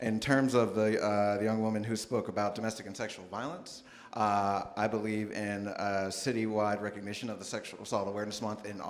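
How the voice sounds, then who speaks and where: A man speaks with fairly even intonation. Audible room echo surrounds his voice. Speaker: mayoral candidate. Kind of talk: public forum statement. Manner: fast.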